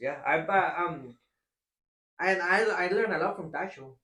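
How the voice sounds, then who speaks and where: The speaker has a strong non-native accent. The tone is bright and sharp. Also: man. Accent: strong foreign. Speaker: barber, podcast host. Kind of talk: casual chat.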